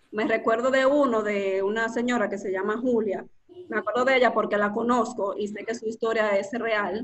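Noticeable background noise is present. The speaker's intonation remains fairly even. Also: woman, fairly high pitch for a woman, moderate pace. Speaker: storytelling and copywriting instructor. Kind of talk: casual interview.

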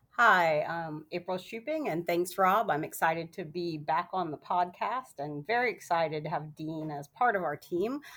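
A woman's fairly low voice, a plain, everyday voice, at a moderate pace with ordinary pitch variation and hardly any pauses. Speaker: accounting firm partner. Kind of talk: podcast interview.

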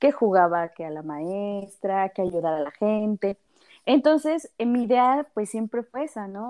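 A woman with a medium pitch talks at a fairly slow pace, her intonation lively. The sound is dry and close with no echo, over a quiet background. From Mexico City. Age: 30s. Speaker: psychologist. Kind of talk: interview.

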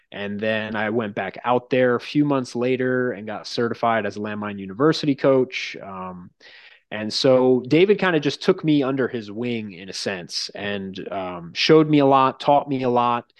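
In a quiet background, a man with an American accent uses a normal speaking voice at medium pitch with lively intonation. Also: moderate pace. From Long Island, New York. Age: 20s. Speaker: strength coach. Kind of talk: casual chat.

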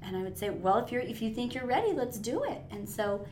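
Someone speaks with an American accent at a moderate pace and ordinary pitch variation, with audible room echo and noticeable background noise. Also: woman. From northern Nevada. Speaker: instructional coach, former teacher. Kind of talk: casual chat.

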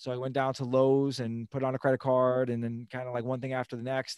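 A man with an American accent, medium pitch and a very fast pace, in a dry, close sound with no echo. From Long Island, New York. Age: 40s. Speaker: fitness professional and financial coach. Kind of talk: casual interview.

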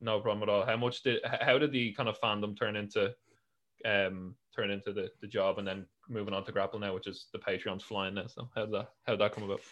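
A man with an Irish accent speaks at a fairly quick pace, his fairly low pitch keeping fairly even intonation. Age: young. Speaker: podcast host. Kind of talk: casual chat. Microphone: new webcam.

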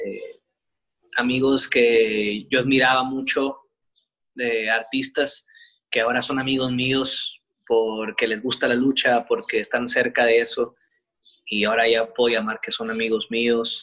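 In a bright, sharp tone, a man speaks at a medium pitch with flat, monotone intonation and long, frequent pauses. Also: fairly slow pace. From Sinaloa, Mexico (Culiacán). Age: 30s. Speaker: professional wrestler. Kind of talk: interview. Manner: relaxed.

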